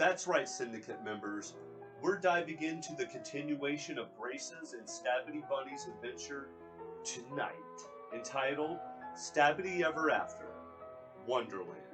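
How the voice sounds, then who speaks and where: With music in the background, a man speaks at a moderate pace, leaving long, frequent pauses. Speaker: comic reviewer. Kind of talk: comic book review narration.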